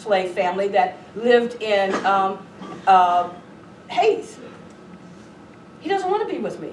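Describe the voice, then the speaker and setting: A woman speaks with an American accent. The recording has audible room echo and noticeable background noise. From Southern California. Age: 60s. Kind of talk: lecture.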